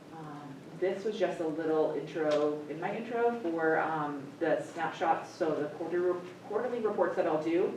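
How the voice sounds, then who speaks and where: The speech has ordinary pitch variation at a moderate pace. Noticeable background noise and audible room echo are present. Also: woman, fairly low pitch for a woman. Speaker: school special education administrator. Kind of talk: presentation to a school board committee. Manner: hesitant, many fillers.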